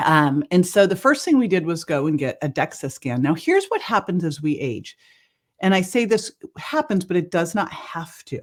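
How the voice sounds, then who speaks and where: With a Californian accent, a woman speaks with very wide pitch swings on a very clean recording with a silent background. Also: fairly low pitch for a woman, moderate pace. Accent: General American (California). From US West Coast, El Cerrito California. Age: 60s. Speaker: wellness entrepreneur. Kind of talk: podcast interview. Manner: animated.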